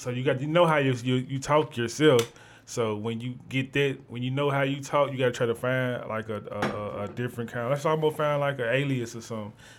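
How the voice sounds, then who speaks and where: Over music in the background, a man talks in a medium pitch at a fairly quick pace. He leaves hardly any pauses and keeps his intonation fairly even. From Memphis, Tennessee (moved there as a child). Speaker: rapper. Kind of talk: casual chat.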